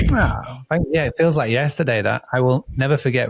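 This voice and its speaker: This man has an English accent and speaks at a fairly quick pace with fairly even intonation. The sound is dry and close, with no echo. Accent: English accent, noticeable. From northern England (Scarborough, Yorkshire). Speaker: hospitality business founder and coach. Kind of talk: podcast interview.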